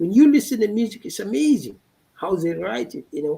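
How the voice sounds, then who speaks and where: The man's voice has a dark, mellow tone. His pitch swings very widely. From Finfinne, Ethiopia. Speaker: guest speaker. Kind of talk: live panel discussion.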